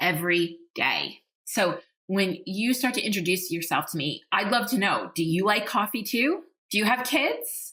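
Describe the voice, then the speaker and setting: Energetic and bright, sharp in tone, a woman speaks at a medium pitch. Her pace is moderate and her intonation lively. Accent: New York. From New York. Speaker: podcast host and leadership coach. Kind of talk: podcast monologue.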